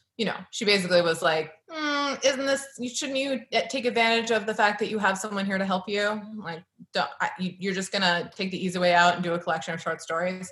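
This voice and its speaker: A woman with an unremarkable speaking voice talks at a fairly quick pace in a medium pitch, with lively intonation. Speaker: novelist and editor. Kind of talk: author reading and conversation. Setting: video call.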